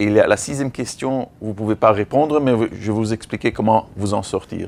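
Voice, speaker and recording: A man of medium pitch talks at a fairly slow pace with ordinary pitch variation. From Belgium and Africa. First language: English (speaking French). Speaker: veterinarian and animal-rights association director. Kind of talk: training workshop. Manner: halting, with frequent repetitions.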